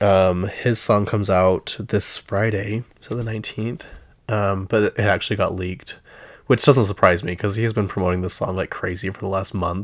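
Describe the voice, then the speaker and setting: A man with a Utah accent speaks at a moderate pace in a fairly low pitch. His intonation is fairly even, and the recording is very clean with a silent background. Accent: Utah-tinged American English. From US West (Utah). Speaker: pop culture podcast host. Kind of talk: casual solo commentary. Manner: chatty, filler-heavy.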